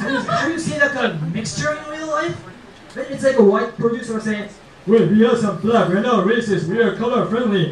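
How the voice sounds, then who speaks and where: This man has a high pitch and lively intonation. Noticeable background noise runs under his voice. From Japan. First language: Japanese. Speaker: stand-up comedian. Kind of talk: stand-up comedy routine. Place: stage.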